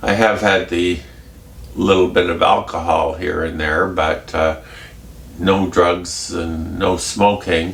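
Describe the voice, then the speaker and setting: Very slow and very deep, a man's low voice comes through with audible room echo and noticeable background noise. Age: 70s. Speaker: vlogger with schizophrenia. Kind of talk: casual vlog. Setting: home kitchen. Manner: halting.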